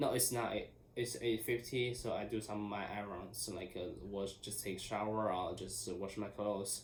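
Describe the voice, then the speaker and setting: A man with a Chinese accent, fairly low in pitch, fairly even intonation, hardly any pauses, and audible room echo. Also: moderate pace. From China. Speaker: English learner. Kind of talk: casual chat. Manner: halting.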